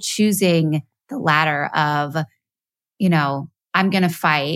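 In a very clean recording with a silent background, a woman uses a normal speaking voice at a fairly slow pace with ordinary pitch variation. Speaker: podcast host. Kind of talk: casual interview. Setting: studio.

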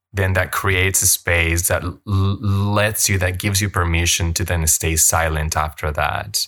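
With a Spanish accent, a man speaks at a moderate pace in a very deep, low pitch with fairly even intonation. His tone is bright and sharp, his loudness very even, and the recording very clean with a silent background. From Colombia. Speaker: yoga teacher. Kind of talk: personal talk to listeners.

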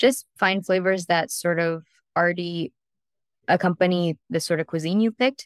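Speaking at a moderate pace, a woman has a fairly low pitch and a Californian accent. The recording is very clean, with a silent background. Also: dry, close sound with no echo. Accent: Californian American. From US, San Diego, California. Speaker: private chef. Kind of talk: casual interview chat.

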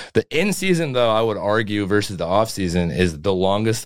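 A man at a very fast pace with lively intonation and a very deep, low pitch, in a dry, close sound with no echo. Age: 20s. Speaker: strength and conditioning coach. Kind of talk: casual chat.

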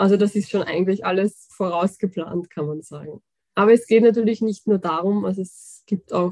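In a dry, close recording with no echo, a woman speaks fairly quickly at a medium pitch with monotone, flat intonation. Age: 20s. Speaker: fantasy author. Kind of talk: interview.

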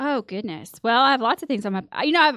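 A bright, sharp voice with a Texan accent sounds dry and close with no echo against a quiet background. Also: woman. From West Texas. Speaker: podcast guest. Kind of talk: casual chat. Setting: studio.

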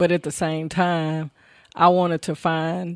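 A woman with a Southern US accent and a fairly low pitch, in a dry, close sound with no echo and a quiet background. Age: 30s. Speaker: family caregiver. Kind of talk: interview. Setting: studio.

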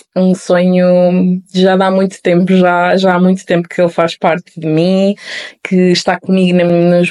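In a European Portuguese accent, a woman with a fairly low pitch and a dark, mellow tone speaks at a fairly slow pace. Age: 20s. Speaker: podcast host. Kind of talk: solo podcast introduction.

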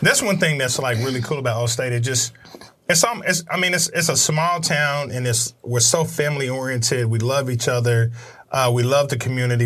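A man at a fairly quick pace, ordinary pitch variation, noticeable background noise behind him. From Oklahoma (Midwest City). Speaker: podcast host. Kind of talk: casual interview. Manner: animated.

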